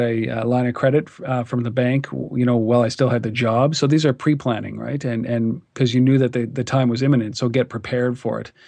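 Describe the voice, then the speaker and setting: A man with a Canadian accent speaks very fast at a medium pitch, with ordinary pitch variation. Noticeable background noise runs through the clip. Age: 40s. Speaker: entrepreneur, media founder. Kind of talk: interview.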